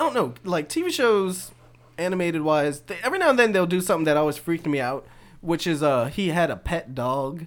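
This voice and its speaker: A man with an American accent speaks in a high voice. His pace is fairly quick and his intonation lively. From US South, New Orleans. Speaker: podcast co-host. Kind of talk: casual chat.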